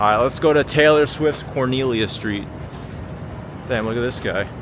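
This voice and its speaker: An American accent at a moderate pace, with ordinary pitch variation and noticeable background noise. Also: man, medium pitch for a man. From Long Island, New York. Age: 30s. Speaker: livestreamer. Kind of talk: live street-walk commentary. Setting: outdoors on city streets at night. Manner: casual, chatty.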